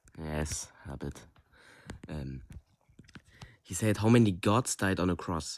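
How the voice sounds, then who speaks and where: Speaking with a German accent, a man uses a very deep, low pitch, a fairly slow pace and lively intonation. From Germany. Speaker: caller. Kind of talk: call-in question. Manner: halting.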